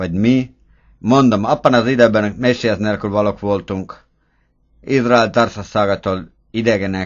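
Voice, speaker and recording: At a very slow pace, a man speaks with fairly even intonation and a fairly low pitch. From Estonia. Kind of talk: prayer based on scripture reading.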